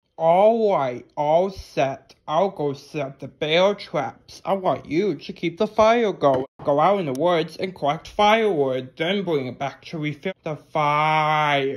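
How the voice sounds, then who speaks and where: A put-on character voice at middle pitch and a fairly slow pace. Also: hardly any pauses. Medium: solo performance. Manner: instructive, friendly.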